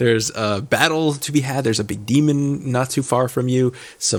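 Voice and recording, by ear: The text is read aloud in a natural voice.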